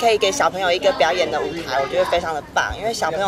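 Amid clear background noise, including audible crowd noise, a woman talks fast at a fairly low pitch with ordinary pitch variation.

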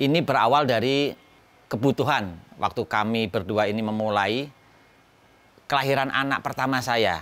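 A man talks at a moderate pace and a medium pitch, with ordinary pitch variation and long, frequent pauses. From Central Java, Pekalongan. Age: 50s. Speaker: educational toy maker. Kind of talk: interview.

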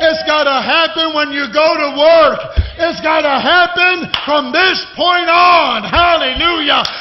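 A man speaks loudly at a fairly slow pace. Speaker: preacher. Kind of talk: sermon. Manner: fervent, exhortative, loud. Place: church. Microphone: podium.

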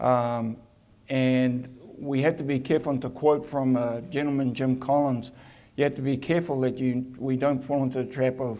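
A man with a New Zealand accent, medium pitch, monotone, flat intonation, a moderate pace and a dark, mellow tone. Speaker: attraction CEO; presenter. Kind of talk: conference presentation. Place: hall.

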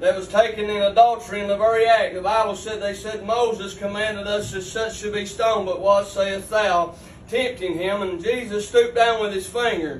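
In a room with audible echo and light background noise, a man speaks in a high pitch with monotone, flat intonation. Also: moderate pace. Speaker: lay preacher. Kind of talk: sermon. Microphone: camera far.

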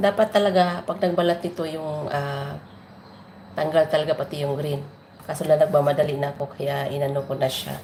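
A woman speaks with a very deep, low pitch and ordinary pitch variation. Her pace is fairly quick. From Philippines, Negros. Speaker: vlogger. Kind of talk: casual cooking vlog. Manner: casual, chatty.

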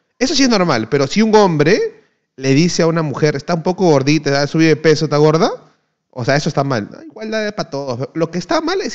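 An animated man speaks at a fairly quick pace and a fairly high pitch, his voice moving in very wide pitch swings. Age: 20s. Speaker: streamer, former pro gamer. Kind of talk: casual chat.

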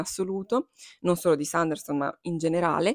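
The speech moves at a fairly quick pace against a quiet background, with a dry sound and no echo. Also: woman. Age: 20s. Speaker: book YouTuber. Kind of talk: casual chat. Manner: animated. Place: home room. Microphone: lapel.

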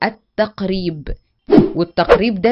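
Speaking at a fairly slow pace, a woman with an Egyptian accent keeps to a medium pitch. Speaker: math teacher. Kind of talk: lecture. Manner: animated.

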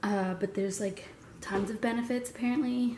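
Moderate pace and fairly even intonation, against noticeable background noise. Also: woman. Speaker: fitness vlogger. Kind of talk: casual vlog talk. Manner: casual, filler-heavy.

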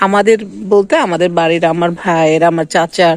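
A woman with a Bangladeshi accent, dry and close with no echo, over noticeable background noise. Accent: Bangladeshi Bengali. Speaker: vlogger. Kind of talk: casual vlog narration. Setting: outdoors in a village. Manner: halting.

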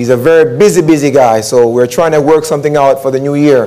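Ordinary pitch variation marks this man's speech. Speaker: pastor preaching. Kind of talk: sermon. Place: church. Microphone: lapel.

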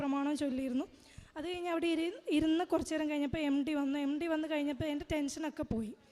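Pitched high, a woman's voice keeps fairly even intonation. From Kerala, Idukki district. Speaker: pilgrim giving religious testimony. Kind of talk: testimony.

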